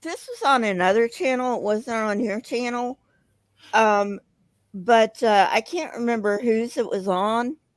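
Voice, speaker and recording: A woman with a slight Southern accent speaks at a fairly slow pace with ordinary pitch variation. The recording is very clean, with a silent background. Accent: slight southern twang. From US South. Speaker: caller on live stream. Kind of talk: casual chat. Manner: halting.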